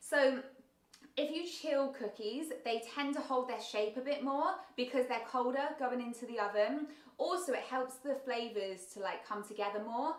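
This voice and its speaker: The speech moves at a moderate pace with lively intonation. Audible room echo and noticeable background noise fill the recording. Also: woman. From southern England, south coast. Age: 30s. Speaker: baking content creator. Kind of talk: livestream chat reading viewer comments. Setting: livestream. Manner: casual, filler-heavy.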